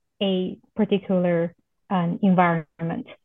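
A woman's medium-pitched voice at a very slow pace. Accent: Chinese. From China. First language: Chinese. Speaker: professor. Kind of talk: interview. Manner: halting, many fillers.

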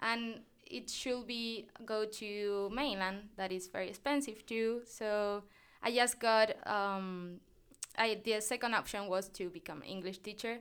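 In a very clean recording with a silent background, a woman with a Spanish accent speaks fairly slowly at a fairly high pitch with fairly even intonation. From Canary Islands, Spain (Tenerife). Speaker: graduate student and podcast interviewer. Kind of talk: casual interview. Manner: laughs often; halting.

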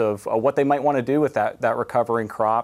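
The speaker, in a Canadian prairie accent, uses fairly even intonation on a very clean recording with a silent background. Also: man. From Canada, southwestern Manitoba. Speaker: university entomology professor. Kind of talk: TV interview.

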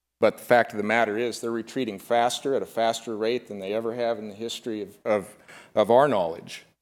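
A man speaks with an American accent in a normal speaking voice at medium pitch and a moderate pace. The recording is very clean, with a silent background. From Nebraska. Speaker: wildlife photographer. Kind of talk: conference talk.

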